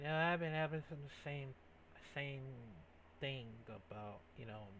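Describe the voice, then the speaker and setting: There is audible room echo and noticeable background noise as a man talks at a fairly slow pace and a fairly high pitch with ordinary pitch variation. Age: 20s. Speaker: YouTube reaction video creator. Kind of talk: casual reaction commentary. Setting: home gaming setup. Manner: halting, many fillers.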